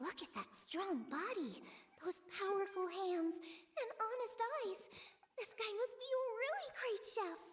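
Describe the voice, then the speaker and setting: Over background music, a woman puts on a character voice at an extremely high pitch and a fairly slow pace. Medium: video game.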